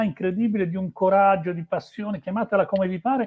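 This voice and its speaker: Fairly even intonation in a high-pitched male voice. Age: 60s. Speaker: motorsport journalist. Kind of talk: interview. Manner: halting, many fillers.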